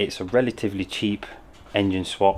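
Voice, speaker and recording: A man with a British accent speaks at a fairly low pitch with ordinary pitch variation. There is noticeable background noise. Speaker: car upholstery vlogger. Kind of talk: vlog.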